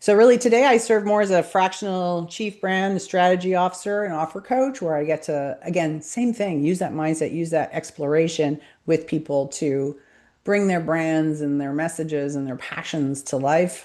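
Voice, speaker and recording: In a Montreal accent, a woman speaks at a moderate pace with a fairly low pitch and lively intonation. Her tone is dark and mellow against a quiet background. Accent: Canadian English, Montreal. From Montreal, Quebec, Canada. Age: 50s. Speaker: business coach and brand strategist. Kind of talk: interview self-introduction.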